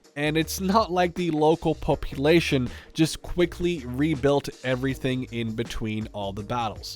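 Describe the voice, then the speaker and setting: Lively intonation with hardly any pauses, over music in the background. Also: man, medium pitch for a man. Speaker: gaming YouTuber. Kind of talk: casual talk to camera, game preview.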